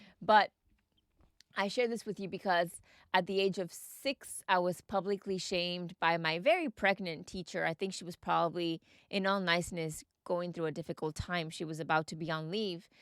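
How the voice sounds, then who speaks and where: A very clean recording with a silent background carries a dry, close sound with no echo, a moderate pace and fairly even intonation. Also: woman, fairly low pitch for a woman. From Texas, Mexican family. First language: Spanish. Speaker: podcast host. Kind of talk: personal storytelling podcast.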